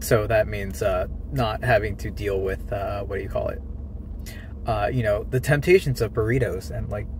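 Male voice, medium tempo, no echo and a dry sound, slight noise behind it. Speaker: daily vlogger. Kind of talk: casual vlog chat. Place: car. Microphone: phone near.

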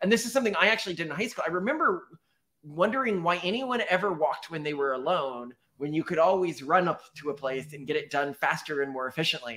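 A man speaks very fast at a high pitch with lively intonation. Behind him the background is quiet. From Texas. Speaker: podcast co-host. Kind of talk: casual chat. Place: home room.

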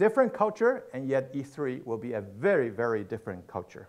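Over a quiet background, a man with a Mandarin accent speaks with hardly any pauses and very wide pitch swings. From Taiwan, then Argentina (Buenos Aires) from age 13. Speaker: pastor. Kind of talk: sermon. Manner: halting, many fillers and repetitions. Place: church.

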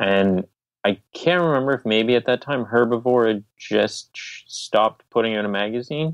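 Against a quiet background, a man with a plain, everyday voice speaks at a moderate pace and medium pitch with ordinary pitch variation, the sound dry and close with no echo. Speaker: vegan magazine publisher. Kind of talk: interview. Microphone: iPhone earbud mic.

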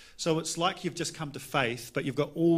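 Speaking at a fairly quick pace, a man with a New Zealand accent keeps a fairly even intonation. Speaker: pastor. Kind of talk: interview during church service. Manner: casual, playful. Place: church. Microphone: handheld.

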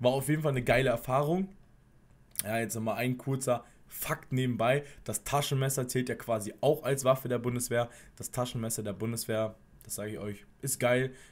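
Fairly even intonation marks a man's speech at a moderate pace. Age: 20s. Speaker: former soldier, YouTuber. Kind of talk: casual vlog monologue; casual vlog chat. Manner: casual, with frequent fillers. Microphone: earbuds.

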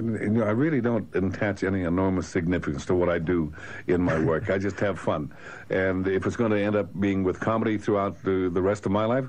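With a very deep, low voice and ordinary pitch variation, a man talks at a fairly quick pace. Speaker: interviewed actor. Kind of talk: interview answer. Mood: relaxed, reflective. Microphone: old recording.

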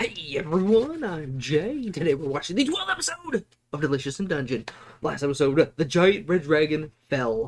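Moderate pacing from a male speaker. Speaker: anime reactor. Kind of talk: casual reaction commentary. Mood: upbeat, enthusiastic. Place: home room.

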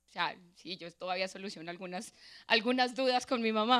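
A woman speaks at a fairly high pitch with ordinary pitch variation and a moderate pace. The background is quiet. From Colombia, Boyacá (Sogamoso). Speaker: motivational speaker, lawyer and social innovator. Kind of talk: motivational talk. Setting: auditorium stage with audience. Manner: animated. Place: hall. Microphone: handheld.

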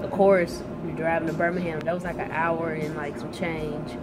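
Fairly quick speech against loud background noise. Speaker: vlogger. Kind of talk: casual vlog chat. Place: shop. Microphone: phone near.

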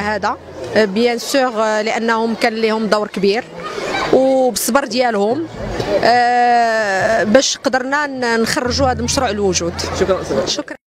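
A woman at a fairly slow pace with long, frequent pauses, dry sound with no echo, and noticeable background noise. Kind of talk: interview statement. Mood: warm, thankful. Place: street. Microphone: handheld.

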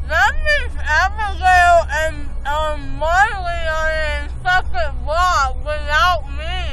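A woman at a very slow pace, dry sound with no echo, crowd noise in the background. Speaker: vlogger after dental work. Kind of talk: casual vlog chat. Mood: groggy, drowsy. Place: car. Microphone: phone near.

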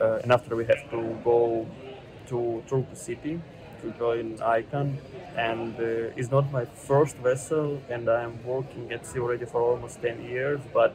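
Noticeable background noise sits behind a man's voice. He speaks fairly slowly in a monotone, flat way. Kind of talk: casual vlog chat. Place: station. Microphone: earbuds.

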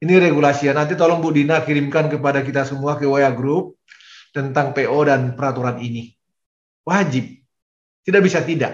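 Somewhat breathy, a man talks at a fairly quick pace with fairly even intonation, with audible room echo over a quiet background. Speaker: vice rector giving guidance to lecturers. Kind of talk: formal briefing address. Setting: video call. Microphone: video call.

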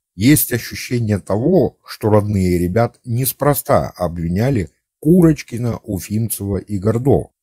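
In a very clean recording with a silent background, a man speaks with a fairly low, dark, mellow voice that is somewhat breathy and has lively intonation. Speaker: amateur history video narrator. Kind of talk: scripted narration. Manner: formal.

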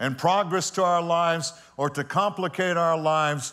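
A man speaks at a fairly slow pace with a quiet background behind him. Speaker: pastor. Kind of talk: sermon. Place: church. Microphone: lapel.

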